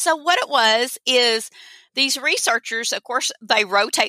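A woman speaks with an Arkansas accent and a bright, sharp tone. The sound is dry and close, with no echo. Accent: Southern US (Arkansas). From Arkansas, US South. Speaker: teacher. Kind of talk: casual interview chat. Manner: animated, passionate.

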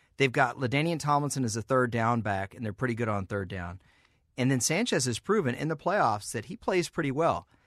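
A man's medium-pitched, fairly quick delivery with lively intonation, an ordinary speaking voice, on a very clean recording with a silent background. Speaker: football writer. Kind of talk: casual sports talk.

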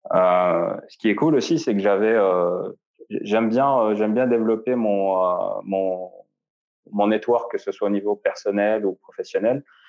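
A man speaks very slowly in a fairly low voice, with ordinary pitch variation, very even loudness, and long, frequent pauses. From Algeria. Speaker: UX design director. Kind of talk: interview. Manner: halting, frequent repetitions.

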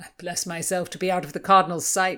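A woman puts on a character voice at a medium pitch, talking fairly quickly in a monotone, flat way. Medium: read story. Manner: jovial, earthy.

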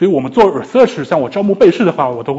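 His intonation lively, a man is talking. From China, Shanghai. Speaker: psychology PhD student, lecturer. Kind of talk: lecture. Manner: halting, with repetitions.

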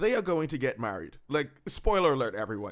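A man speaks in an animated tone at a fairly quick pace. His pitch varies in an ordinary way. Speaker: podcast host. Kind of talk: casual banter recap of TV episode. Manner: animated, joking, fast overlapping banter.

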